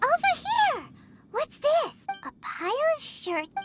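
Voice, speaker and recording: This is a squeaky, put-on character voice at an extremely high pitch with very wide pitch swings. It moves at a moderate pace with music in the background. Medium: video game. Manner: excitable, inquisitive.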